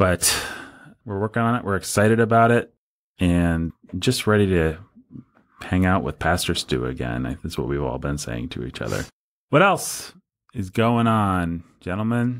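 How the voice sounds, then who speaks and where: Pausing long and often, a man with a very deep, low pitch speaks at a moderate pace while his pitch swings very widely. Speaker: podcast host. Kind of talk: casual chat. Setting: studio.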